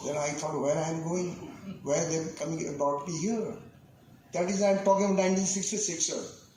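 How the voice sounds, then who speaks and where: Over noticeable background noise and audible room echo, a man talks at a fairly quick pace with a high pitch. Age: 70s. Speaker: senior club member, chief guest. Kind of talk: ceremony speech. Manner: halting.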